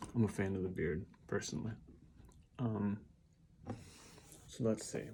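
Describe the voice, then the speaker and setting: Fairly low male voice, somewhat breathy, with a dark, mellow tone and ordinary pitch variation. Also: moderate pace. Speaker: vlogger. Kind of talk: casual monologue. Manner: halting, many ums.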